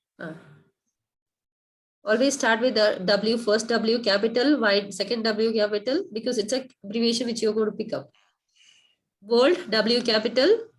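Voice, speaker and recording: Her voice sits fairly high and sounds somewhat breathy. The woman keeps a moderate pace broken by long, frequent pauses. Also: ordinary pitch variation. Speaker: coding teacher. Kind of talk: online one-to-one coding lesson.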